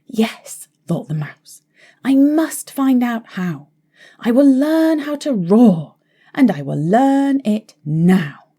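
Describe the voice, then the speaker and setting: Putting on a squeaky character voice, a woman speaks very slowly in a high pitch with very wide pitch swings. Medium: read story. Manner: timid, small-voiced.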